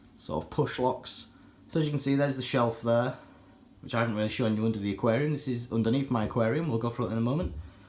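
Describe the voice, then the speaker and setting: A man with a British accent talks very fast at medium pitch, with ordinary pitch variation. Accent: British accent, self-described as terrible. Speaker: aquarium hobbyist YouTuber. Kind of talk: casual product review walkthrough. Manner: casual, with many fillers.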